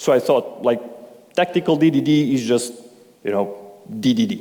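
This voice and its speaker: Speaking with a non-native accent at a moderate pace, a man with a fairly high voice swings his pitch very widely. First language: not English. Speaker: conference speaker. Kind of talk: conference talk. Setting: stage with audience.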